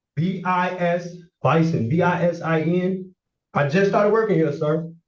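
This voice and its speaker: A man's high-pitched voice at a moderate pace, with fairly even intonation, very even loudness and audible room echo. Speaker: defendant. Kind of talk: court hearing testimony. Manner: halting, repetitive.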